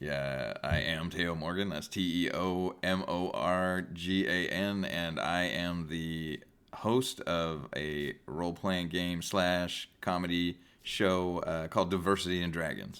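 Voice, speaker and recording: A very slow pace with fairly even intonation, on a very clean recording with a silent background. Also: man, very deep, low pitch for a man. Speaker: comedy role-playing show host. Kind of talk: casual chat. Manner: halting.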